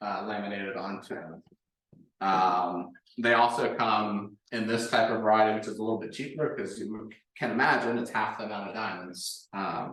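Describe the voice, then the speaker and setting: A man speaks at a moderate pace with a plain, everyday voice. His medium pitch follows a fairly even intonation. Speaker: woodworking presenter. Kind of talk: presentation.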